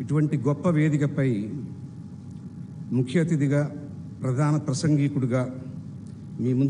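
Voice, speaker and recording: Here a man talks in a medium pitch. Audible room echo surrounds his voice. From Andhra Pradesh, India (Nellore). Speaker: chief guest speaker, alumnus. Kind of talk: convocation speech. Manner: formal.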